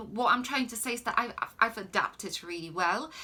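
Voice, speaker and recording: A woman speaks with a Polish accent. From Poland. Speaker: life coach. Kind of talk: Q&A answers to viewers. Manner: hesitant, many filler ums.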